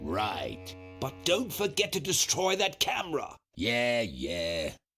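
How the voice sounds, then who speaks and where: A man puts on a character voice at a medium pitch, swinging very widely in pitch at a fairly slow pace. Faint music sits in the background. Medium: video game. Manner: gloating.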